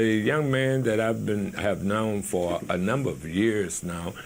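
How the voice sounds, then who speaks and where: A man speaks at a medium pitch with lively intonation. Audible room echo and noticeable background noise surround his voice. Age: 70s. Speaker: talk show host. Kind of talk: interview. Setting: studio.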